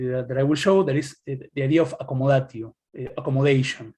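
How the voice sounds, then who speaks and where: Somewhat breathy, a man talks at a very fast pace in a fairly high voice. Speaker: academic presenter. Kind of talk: lecture. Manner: halting.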